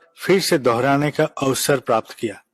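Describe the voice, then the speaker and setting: The speaker has a non-native accent and ordinary pitch variation. The sound is dry and close, with no echo. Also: man. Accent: non-native Hindi. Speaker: spiritual leader. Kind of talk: religious address. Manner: formal.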